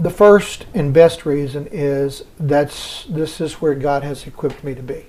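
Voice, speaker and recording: Over noticeable background noise, a man with an American accent talks fairly slowly with hardly any pauses, his fairly high voice showing ordinary pitch variation and big swings in loudness. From US South. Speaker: hospice chaplain. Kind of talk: interview.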